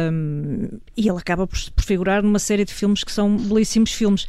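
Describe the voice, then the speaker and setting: Her tone is dark and mellow. The woman talks at a fairly quick pace with fairly even intonation. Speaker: culture commentator. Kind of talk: panel discussion.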